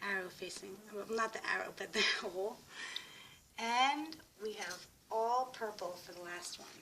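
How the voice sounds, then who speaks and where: Amid noticeable background noise, a woman with a medium pitch speaks at a moderate pace, with long, frequent pauses and big swings in loudness. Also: ordinary pitch variation. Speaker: craft tutorial creator. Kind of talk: tutorial. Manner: casual step-by-step instruction.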